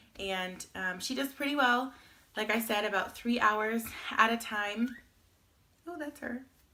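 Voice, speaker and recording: A woman speaks at a fairly slow pace in a fairly high voice, with long, frequent pauses. Her pitch varies in an ordinary way while her loudness swings widely. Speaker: vlogger, new mother. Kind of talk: casual vlog update.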